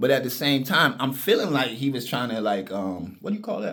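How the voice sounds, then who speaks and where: A man speaks at a fairly quick pace. Audible room echo can be heard. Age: 50s. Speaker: vlogger. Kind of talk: casual monologue. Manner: animated.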